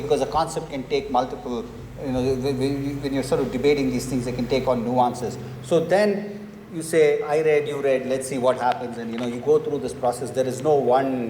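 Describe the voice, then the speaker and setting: A man with a fairly high pitch at a fairly quick pace, with audible room echo and noticeable background noise. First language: not English. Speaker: book author on panel. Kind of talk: panel discussion.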